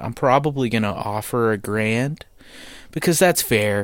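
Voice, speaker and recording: With an American accent, a man talks in an unremarkable speaking voice at a medium pitch and a moderate pace. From United States. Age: 20s. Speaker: podcast host. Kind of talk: casual monologue. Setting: home basement.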